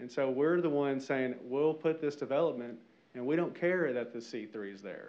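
With a Southern US accent, a man at fairly high pitch talks at a moderate pace, using ordinary pitch variation and big swings in loudness. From Arkansas. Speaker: resident. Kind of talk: public comment. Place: hall. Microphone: podium.

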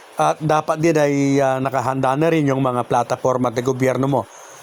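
Noticeable background noise runs behind a man's medium-pitched voice. He talks at a fairly quick pace with fairly even intonation. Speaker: YouTube vlogger giving barangay election tips. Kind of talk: vlog monologue. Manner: frequent filler pauses (uh); polite, formal.

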